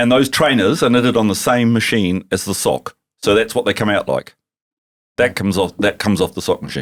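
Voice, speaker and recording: In a New Zealand accent, a man speaks at a fairly quick pace. His pitch is medium, with ordinary pitch variation. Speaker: tech company founder. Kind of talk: podcast interview. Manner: animated.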